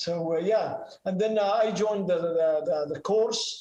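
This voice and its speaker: At a moderate pace, a man with a slight non-native accent speaks amid audible room echo. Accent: slight foreign accent in English. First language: Arabic. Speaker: ham radio operator and pilot. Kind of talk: presentation and Q&A. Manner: halting, many fillers.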